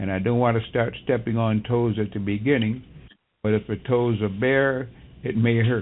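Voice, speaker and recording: A man's voice sits at a medium pitch, delivered in a monotone, flat intonation at a moderate pace. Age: 80s+. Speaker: metaphysics lecturer and college professor. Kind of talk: radio interview.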